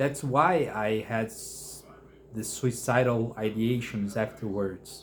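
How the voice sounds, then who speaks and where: With a Brazilian Portuguese accent, a man speaks very slowly in a somewhat breathy, medium-pitched voice. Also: ordinary pitch variation. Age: 30s. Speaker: mental health vlogger. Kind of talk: personal testimony. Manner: halting, many fillers and restarts.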